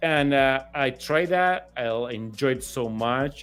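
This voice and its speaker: With a Spanish accent, a man speaks in a medium pitch at a fairly slow pace. Music plays in the background. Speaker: statue sculptor. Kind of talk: interview. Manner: halting, many repetitions.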